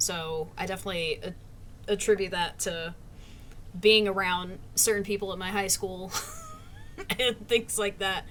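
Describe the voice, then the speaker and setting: A woman with an American accent speaks at a fairly slow pace in a monotone, flat intonation. Long, frequent pauses break up her speech, and there is noticeable background noise. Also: medium pitch for a woman. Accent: southern drawl, comes out at times. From US South. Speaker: streamer interviewing a friend. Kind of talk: casual interview chat.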